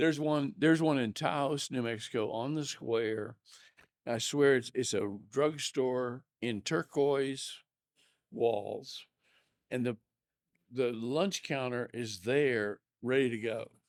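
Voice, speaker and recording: A man at medium pitch, very slow, with long, frequent pauses and ordinary pitch variation. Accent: American. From Oklahoma. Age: 80s+. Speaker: bar owner. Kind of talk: interview. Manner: halting.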